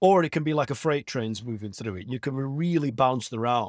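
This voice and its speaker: A man speaks with a Lancashire accent at a fairly high pitch. The sound is dry and close, with no echo. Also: very clean recording, silent background. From northern England, Blackburn, Lancashire. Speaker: astral projection teacher and hypnotherapist. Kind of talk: podcast interview.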